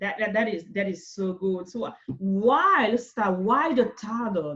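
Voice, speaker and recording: A woman with a non-native accent and an animated tone. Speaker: interview show host. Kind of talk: interview.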